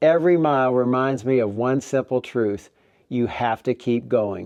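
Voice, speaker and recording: This is an unremarkable speaking voice, a man's at medium pitch. He talks at a moderate pace with ordinary pitch variation. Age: 60s. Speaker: retirement travel vlogger. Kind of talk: scripted narration.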